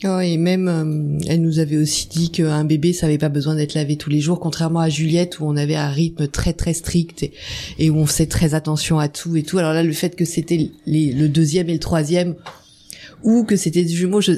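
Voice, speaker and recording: Monotone, flat intonation carries the words along at a moderate pace. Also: woman. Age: 50s. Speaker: mother of twins. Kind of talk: testimony.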